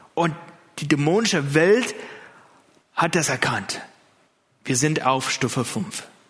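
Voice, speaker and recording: A man's fairly high voice with a non-native accent, very slow with long, frequent pauses, in audible room echo. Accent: foreign accent in German. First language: not German (speaking German). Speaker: pastor. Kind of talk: sermon. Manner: hesitant, many fillers.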